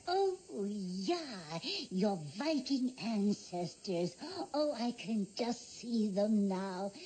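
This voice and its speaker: Clear background noise sits behind a female-sounding voice. It is a put-on character voice with a fairly high pitch. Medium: short film. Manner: chatty, folksy, quizzing.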